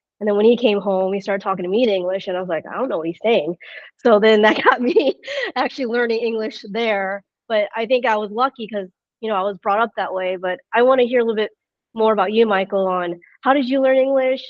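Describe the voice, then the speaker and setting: A woman's very fast speech in an American accent, fairly high in pitch with ordinary pitch variation. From United States. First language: Chinese. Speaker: business executive interviewer. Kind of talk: podcast interview.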